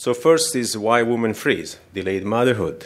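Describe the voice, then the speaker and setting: Recorded very cleanly against a silent background, a man with a non-native accent talks at a fairly slow pace and a medium pitch. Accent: foreign. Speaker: fertility doctor and professor. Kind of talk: conference lecture. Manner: halting.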